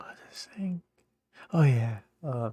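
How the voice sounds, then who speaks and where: A man with a dark, mellow tone and a somewhat breathy voice speaks at a very slow pace, in a dry, close sound with no echo. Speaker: youtuber. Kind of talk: casual monologue. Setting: home, late night. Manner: rambling, halting. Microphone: may be a little quiet.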